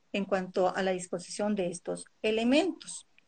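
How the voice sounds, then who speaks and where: A woman with a fairly high pitch and an ordinary speaking voice, at a fairly slow pace with ordinary pitch variation, against a quiet background. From Colombia. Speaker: naturopath and Ayurveda coach. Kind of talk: interview on a live stream.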